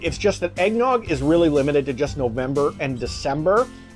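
The speech moves at a fairly quick pace over faint music in the background. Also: man. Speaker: food reviewer. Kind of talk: casual review vlog chat. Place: home room. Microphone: phone near.

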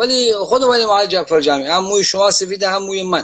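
The man speaks fairly quickly. Behind him, the background stays quiet. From Iran, Gilan (Khomam); Gilan, Iran. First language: Gilaki (speaking Persian). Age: 80s+. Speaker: writer and translator; interview guest. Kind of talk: casual interview. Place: home room. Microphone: video call.

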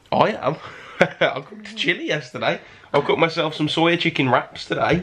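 A man with a high pitch and ordinary pitch variation speaks at a moderate pace, his loudness swinging widely. Noticeable background noise is present. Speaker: vlogger; car cleaner. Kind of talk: casual vlog chat.

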